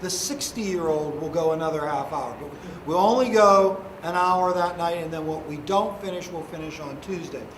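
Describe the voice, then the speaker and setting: A high-pitched man at a moderate pace, with ordinary pitch variation and big swings in loudness, amid audible room echo and noticeable background noise. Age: 60s. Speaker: high school history teacher. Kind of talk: classroom lecture. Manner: conversational.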